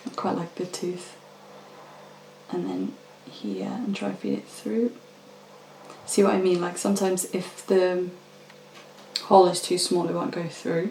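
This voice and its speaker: A soft-spoken, fairly slow delivery with long, frequent pauses over noticeable background noise. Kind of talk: casual instructional talk during a craft session.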